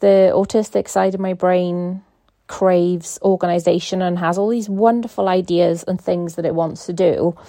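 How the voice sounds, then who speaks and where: At a moderate pace, a woman talks in a medium pitch with a dark, mellow tone and flat, monotone intonation. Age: 30s. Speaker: podcast host. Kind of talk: casual monologue. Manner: hesitant, many fillers. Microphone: phone voice memo recording.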